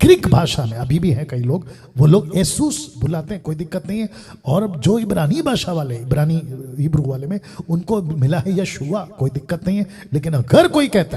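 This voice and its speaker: A man with a Telangana accent, animated tone, fairly high pitch and very wide pitch swings. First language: Telugu (speaking Hindi). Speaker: preacher. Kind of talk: sermon.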